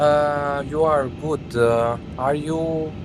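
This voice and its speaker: A man with a Romanian accent talks with lively intonation. Noticeable background noise and audible room echo fill the recording. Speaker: flight simulator live streamer. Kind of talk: casual live-stream chat and flight commentary. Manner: hesitant, many fillers.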